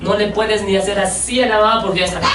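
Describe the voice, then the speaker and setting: A man talks at a very fast pace in an animated tone. Noticeable background noise and audible room echo surround him. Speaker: pastor. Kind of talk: sermon.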